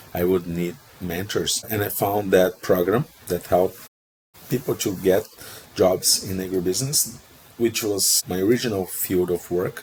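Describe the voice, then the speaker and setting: Somewhat breathy and moderately paced, this voice carries a Portuguese accent and ordinary pitch variation. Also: man, very deep, low pitch for a man. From Brazil. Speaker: procurement professional, interview guest. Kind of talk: casual interview.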